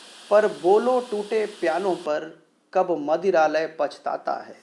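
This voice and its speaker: The man has a dark, mellow tone, a high pitch, and lively intonation. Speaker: radio jockey. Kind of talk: poetry reading.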